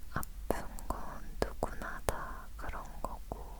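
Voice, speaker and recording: A woman whispers very slowly while background noise is clearly audible. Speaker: ASMR creator. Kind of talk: ASMR whispered chat. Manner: whispered.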